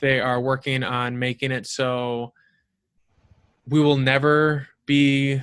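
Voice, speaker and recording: The recording is very clean with a silent background. A man talks with fairly even intonation. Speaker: podcast host. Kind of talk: casual chat. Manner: fast.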